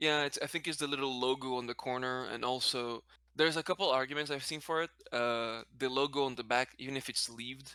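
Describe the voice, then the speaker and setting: Speaking with a non-native accent, a man of medium pitch and a bright, sharp tone moves at a fairly quick pace with fairly even intonation. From Brazil, then Spanish-speaking country. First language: Portuguese. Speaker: card game content creator. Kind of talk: casual interview chat. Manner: halting, self-correcting.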